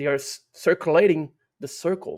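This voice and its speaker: Here a man speaks with a Portuguese accent. His pace is fairly slow. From Brazil. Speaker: UFO researcher. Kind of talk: interview. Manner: halting, many repetitions and fillers.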